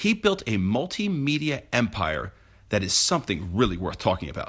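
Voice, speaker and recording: At a moderate pace and medium pitch, a man speaks with very wide pitch swings on a very clean recording with a silent background. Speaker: real estate professional. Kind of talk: radio-style presentation. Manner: polished, formal.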